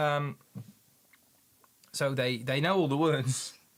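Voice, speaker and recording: Fairly even intonation in a very clean recording with a silent background. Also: man. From Netherlands. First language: Dutch. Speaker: paint maker and streamer. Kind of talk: casual livestream chat. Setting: livestream from a home studio. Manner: halting, many repeats and fillers.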